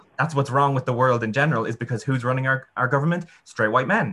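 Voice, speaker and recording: A man with an Irish accent, a bright, sharp tone and ordinary pitch variation. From Ireland. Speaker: student union president-elect. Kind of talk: panel discussion.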